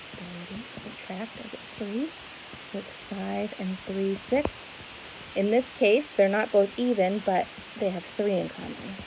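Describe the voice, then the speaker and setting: A woman talks at a fairly slow pace with medium pitch and ordinary pitch variation. Her loudness swings widely over noticeable background noise. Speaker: schoolteacher. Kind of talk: tutorial.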